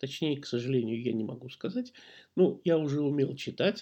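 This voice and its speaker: This man's fairly high-pitched voice has a dark, mellow tone. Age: 50s. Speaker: podcast host. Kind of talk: personal storytelling monologue. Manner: conversational, with hesitations.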